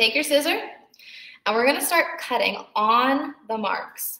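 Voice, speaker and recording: A woman speaks very slowly in a raised, projected voice, with a bright, sharp tone and lively intonation. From New Jersey, Bergen County (Teaneck). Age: 20s. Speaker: arts and crafts instructor. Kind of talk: tutorial. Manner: casual, chatty.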